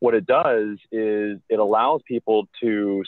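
Against a quiet background, a man speaks at a fairly low pitch in a dry sound with no echo. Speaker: marketing agency host. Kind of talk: tutorial. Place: car. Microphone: phone near.

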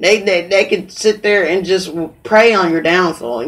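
A woman with an American accent talks with ordinary pitch variation. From US Midwest, St. Joseph, Missouri. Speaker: podcast host. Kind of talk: casual chat. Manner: animated.

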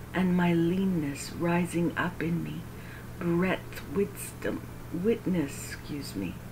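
There is noticeable background noise as a woman speaks. Her tone is warm and her pace very slow. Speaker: Bible reader and prayer leader. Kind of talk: devotional scripture reading in KJV with opening and closing prayers. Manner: earnest, reverent, slightly halting, stumbles and self-corrects; warm, gently paced, prayerful.

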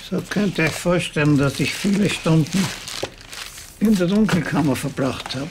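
Amid noticeable background noise, a man with a high pitch and ordinary pitch variation speaks at a moderate pace, leaving long, frequent pauses. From Austria. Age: 80s+. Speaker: cinematographer and photographer. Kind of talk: documentary interview answer. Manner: humorous.

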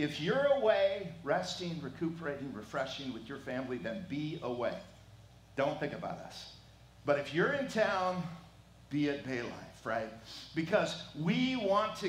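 A man's voice at a moderate pace, with very wide pitch swings and audible room echo. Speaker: pastor. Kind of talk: sermon welcome and prayer. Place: church. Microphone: headset.

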